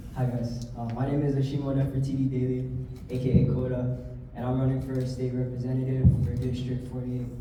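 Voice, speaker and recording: Over music in the background and with audible room echo, a man with a Hawaiian accent talks at a fairly quick pace in a medium pitch, his intonation monotone and flat. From Hawaii, windward Oahu. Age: 20s. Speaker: political candidate. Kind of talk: campaign speech. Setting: candidate forum with audience.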